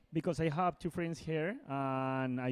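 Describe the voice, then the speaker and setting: A man speaks in a Colombian accent with fairly even intonation. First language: Spanish. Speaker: indoor skydiving athlete. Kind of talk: interview. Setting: interview studio at indoor skydiving competition. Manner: halting.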